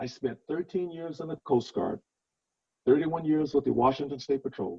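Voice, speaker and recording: A man with a fairly high pitch speaks at a fairly quick pace, somewhat breathy. His tone is dark and mellow, and his intonation is lively. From Louisiana. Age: 60s. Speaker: politician and former police officer. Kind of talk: talk to a club meeting.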